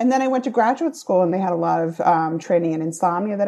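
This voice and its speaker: A woman with an American accent speaks in a dark, mellow tone with lively intonation. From Rhode Island, US. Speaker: sleep specialist. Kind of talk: casual interview chat.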